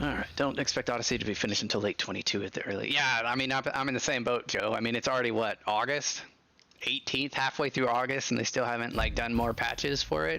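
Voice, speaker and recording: A man of medium pitch with an ordinary speaking voice and fairly even intonation. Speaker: gaming streamer. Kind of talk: live gameplay stream with chat.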